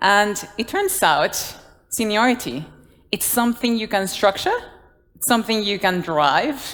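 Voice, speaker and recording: A woman with a Guatemalan accent speaks at a fairly slow pace, her fairly high pitch moving through very wide swings. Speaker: design leader. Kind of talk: conference talk. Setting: stage with audience.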